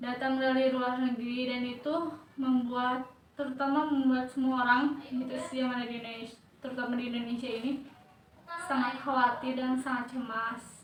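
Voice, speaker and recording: Over audible room echo, a woman speaks at a high pitch and a moderate pace with flat, monotone intonation. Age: 20s. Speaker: university student interviewee. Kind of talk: research interview answers. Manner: hesitant, filler-heavy.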